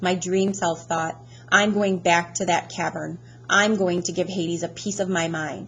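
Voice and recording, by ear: This is a natural voice reading aloud with fairly even intonation.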